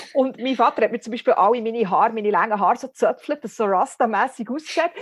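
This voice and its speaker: A woman's fairly high voice at a fairly quick pace, with noticeable background noise. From Switzerland, Bern (Bümpliz). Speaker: satirist and spoken-word author. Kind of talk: casual interview. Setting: remote call. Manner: very fast.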